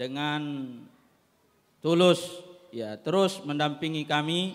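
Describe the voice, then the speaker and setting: Here a man speaks with a fairly high pitch. His intonation stays fairly even. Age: 30s. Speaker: head of an Islamic school foundation. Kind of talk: formal ceremony speech. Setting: graduation ceremony.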